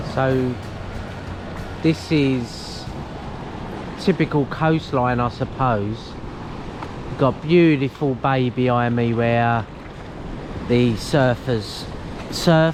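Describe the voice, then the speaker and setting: Someone with an Essex accent speaks very slowly, leaving long, frequent pauses, with noticeable noise in the background. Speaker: travel vlogger. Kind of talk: casual vlog narration. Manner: animated.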